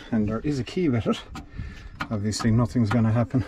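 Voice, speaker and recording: Over noticeable background noise, a man with a dark, mellow, somewhat breathy tone speaks at a fairly quick pace with ordinary pitch variation, the sound dry with no echo. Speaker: mechanic restoring an old tractor. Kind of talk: commentary. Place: farm machine. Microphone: phone near.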